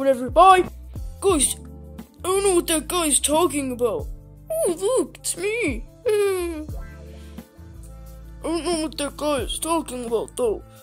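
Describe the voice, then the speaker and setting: Over clear music in the background, a high-pitched cartoonish character voice moves at a fairly slow pace with long, frequent pauses. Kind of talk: comedy puppet skit. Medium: puppet. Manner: hesitant, stammering, childish.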